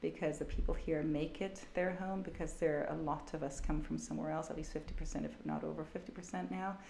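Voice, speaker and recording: A woman talks at a moderate pace, and audible room echo follows her voice. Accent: American. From Germany, with summers in Sweden and years in California. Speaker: business executive and company director. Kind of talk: interview.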